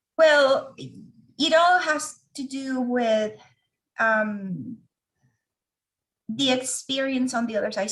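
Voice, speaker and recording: At a very slow pace, a woman with a Venezuelan accent speaks in a high pitch with ordinary pitch variation. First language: Spanish. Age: 40s. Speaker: organizational change leader. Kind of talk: interview testimony.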